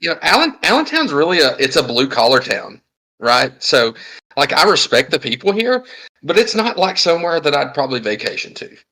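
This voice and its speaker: The speaker has a Southern US accent. The pace is fairly quick. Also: man. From US South. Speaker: podcast co-host. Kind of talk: casual chat and live podcast announcements. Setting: live-streamed podcast with audience.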